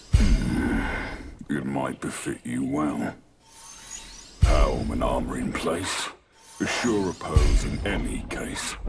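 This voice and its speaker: A put-on character voice speaks at a very slow pace with long, frequent pauses over music in the background. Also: man, very deep, low pitch for a man. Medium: video game. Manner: terse, sing-song rhymes.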